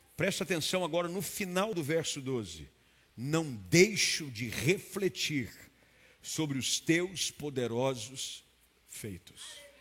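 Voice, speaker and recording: A Brazilian accent, lively intonation and a very slow pace on a very clean recording with a silent background. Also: man. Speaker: preacher. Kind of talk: sermon. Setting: church with live congregation. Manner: earnest, fervent preaching tone, rising to a declarative, commanding cadence in prayer; direct and explanatory, addressing the listener as 'you'.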